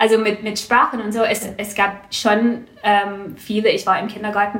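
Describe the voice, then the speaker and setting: Over noticeable background noise and with audible room echo, a woman talks at medium pitch. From Canada, Vancouver. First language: English (speaking German). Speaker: small business owner, wool seller. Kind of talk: interview. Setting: at guest's home. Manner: halting, many fillers.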